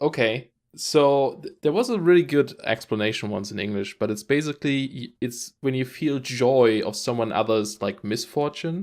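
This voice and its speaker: On a very clean recording with a silent background, a man speaks with a German accent at a moderate pace. He uses medium pitch and ordinary pitch variation, with hardly any pauses. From Germany. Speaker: gaming podcast co-host. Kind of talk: casual chat.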